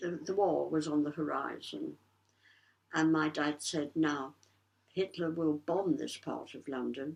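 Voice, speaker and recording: With vocal fry and a very deep, low pitch, a woman speaks fairly slowly in a monotone, flat delivery broken by long, frequent pauses. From London, East End. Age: 80s+. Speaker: Blitz survivor. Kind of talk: interview answer.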